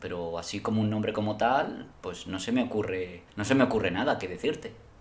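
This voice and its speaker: Over noticeable background noise and audible room echo, a man with a fairly low voice speaks at a moderate pace with ordinary pitch variation. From Spain. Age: 30s. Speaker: podcast guest. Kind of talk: casual chat.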